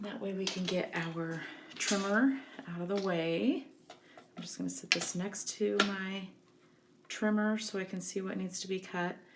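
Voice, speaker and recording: A woman at a medium pitch and a fairly slow pace, with fairly even intonation, long, frequent pauses and noticeable background noise. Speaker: craft tutorial presenter. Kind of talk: tutorial. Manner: casual, many fillers.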